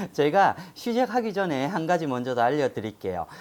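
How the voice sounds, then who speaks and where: The recording is very clean, its background silent. Delivery holds a moderate pace. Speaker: shaman fortune teller. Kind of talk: fortune-telling talk to camera.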